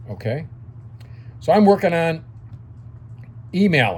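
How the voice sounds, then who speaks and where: A man is speaking. Room echo can be heard. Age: 60s. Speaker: dry cleaning business consultant. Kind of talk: casual video lecture. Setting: home office. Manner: conversational, frequent fillers.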